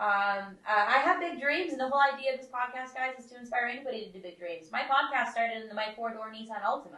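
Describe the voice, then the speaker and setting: Speaking in an American accent at a very fast pace with hardly any pauses, a woman has a high pitch and ordinary pitch variation. Her loudness swings widely, and noticeable background noise is present. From US West, Nevada (Las Vegas). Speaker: podcast host. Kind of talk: casual podcast interview. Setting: podcast studio. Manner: hesitant, many fillers.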